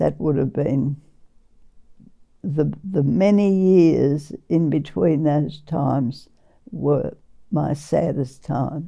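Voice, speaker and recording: With an Australian accent, a woman speaks very slowly in a very deep, low pitch, her tone dark and mellow, with vocal fry and long, frequent pauses. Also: ordinary pitch variation. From Western Australia. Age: 80s+. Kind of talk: interview answer.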